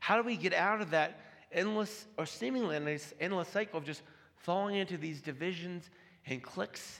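Speaking at a moderate pace with lively intonation, a man with a high pitch is heard amid audible room echo. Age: 30s. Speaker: pastor. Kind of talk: sermon. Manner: halting.

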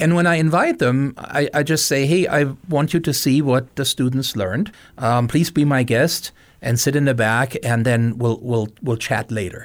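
A man with a German accent speaks at a moderate pace and medium pitch, with ordinary pitch variation and very even loudness. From Germany. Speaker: outreach program director. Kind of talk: interview.

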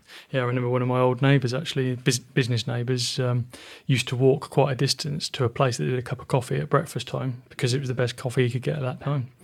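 In a southern English accent, a man at medium pitch speaks very fast and somewhat breathily with fairly even intonation. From Oxfordshire, England. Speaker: podcast host, business mentor. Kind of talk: interview.

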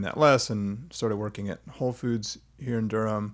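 A man speaks in an unremarkable speaking voice at a fairly low pitch. He keeps a moderate pace. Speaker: podcast host. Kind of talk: casual interview chat.

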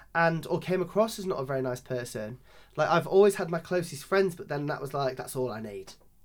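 A man with a Lincolnshire accent, fairly high in pitch, with lively intonation and a fairly quick pace. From rural Lincolnshire, England. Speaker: drag performer. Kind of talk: interview conversation.

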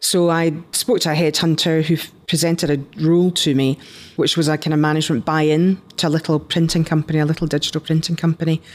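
A woman talks fairly quickly with a Scottish accent and a fairly low pitch. Her intonation is monotone and flat, and her loudness stays very even. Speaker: entrepreneur, company founder. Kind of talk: interview.

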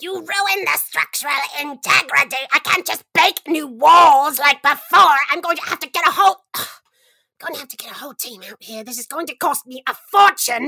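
The female-sounding voice is a put-on character voice. It sits at a high pitch and moves at a moderate pace. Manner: scheming, then flustered and angry.

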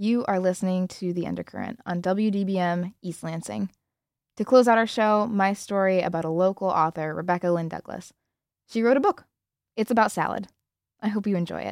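A plain, everyday voice: a woman at medium pitch, fairly quick, with ordinary pitch variation, dry and close with no echo. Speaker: student radio host. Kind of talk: scripted narration.

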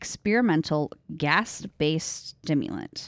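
An American accent comes through on a very clean recording with a silent background and a dry, close sound with no echo. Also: woman. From upstate New York. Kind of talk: casual banter, then reading horror narration.

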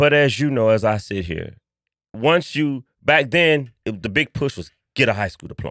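Against a silent background in a very clean recording, a man speaks in an ordinary speaking voice with lively intonation. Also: medium pitch for a man, moderate pace. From Chicago, West Side (Austin area). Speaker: history museum founder. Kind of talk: casual interview.

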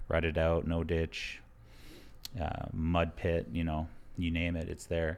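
A man with a very deep, low pitch. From Alberta, Canada (Blood Tribe). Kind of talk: casual interview chat.

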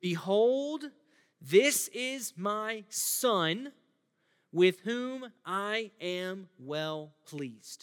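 A booming, put-on character voice sits at a fairly high pitch. It moves at a very slow pace. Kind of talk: solemn, biblical. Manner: booming proclamation.

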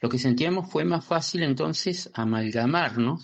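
Here a man talks at a moderate pace in a normal speaking voice. His pitch is medium, and his intonation is lively. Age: 50s. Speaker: listener. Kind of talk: recorded voice message.

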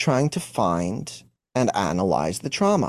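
A man with a Montreal accent at medium pitch, on a very clean recording with a silent background. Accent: Montreal English (Canadian). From Montreal, Quebec, Canada. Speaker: emotional wellness coach. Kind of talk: interview.

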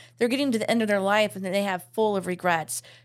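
Here a woman with a plain, everyday voice speaks at medium pitch with ordinary pitch variation on a very clean recording with a silent background. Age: 40s. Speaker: florist. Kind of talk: casual chat.

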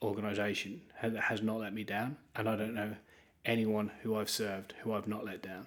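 With an East Anglian accent, a man speaks in a fairly low voice using monotone, flat intonation. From eastern England (Norwich). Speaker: pastor. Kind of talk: interview.

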